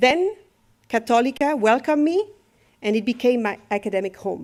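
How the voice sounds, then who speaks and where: A woman with a French accent speaks in a high pitch. Her pace is moderate and her intonation lively. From France. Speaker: professor. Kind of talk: formal speech.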